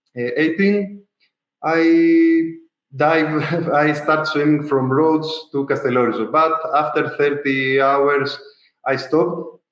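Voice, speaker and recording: In a Greek accent, a man speaks at a very slow pace with fairly even intonation, and audible room echo can be heard. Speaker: ultra-endurance swimmer. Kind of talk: interview. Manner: halting, many fillers.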